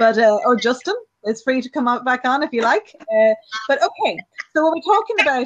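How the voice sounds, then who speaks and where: A woman with an Irish accent talks at a fairly quick pace, her high pitch swinging very widely. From Ireland. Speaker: online show host. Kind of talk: casual chat.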